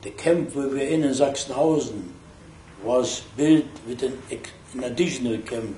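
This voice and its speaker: Speech comes at a fairly slow pace with fairly even intonation. Room echo is audible, and background noise is noticeable. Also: man. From Germany, Berlin. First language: German. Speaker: Holocaust survivor. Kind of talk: testimony.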